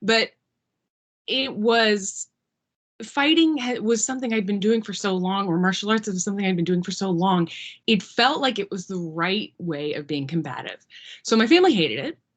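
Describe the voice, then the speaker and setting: A woman speaks at a medium pitch. Her intonation is lively. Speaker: former MMA fighter. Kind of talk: class Q&A talk. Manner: digressive, fast-paced.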